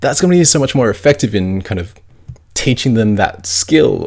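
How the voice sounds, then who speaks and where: A man with an Australian accent, fairly quick in pace, with lively intonation. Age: 20s. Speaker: podcast host. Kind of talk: personal monologue. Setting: at home in quarantine.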